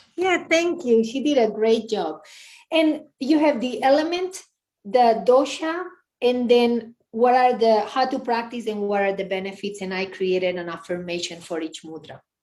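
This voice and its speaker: With a Spanish accent, a woman speaks at a moderate pace in a fairly high pitch, using very wide pitch swings and big swings in loudness. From Spain. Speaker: yoga and meditation teacher. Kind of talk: casual interview.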